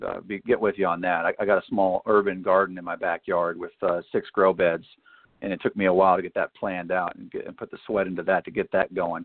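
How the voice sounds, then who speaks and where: In a Southern US accent, the speech rushes along at a very fast pace with monotone, flat intonation and big swings in loudness. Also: man, very deep, low pitch for a man. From Arkansas, US South. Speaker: author and retired military officer. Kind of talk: interview.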